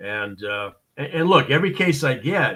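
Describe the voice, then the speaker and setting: A man with an American accent talks at a fairly high pitch with vocal fry. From Boston, US. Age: 60s. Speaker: expert witness and consultant. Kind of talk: interview on a live show. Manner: many fillers and repetitions, halting.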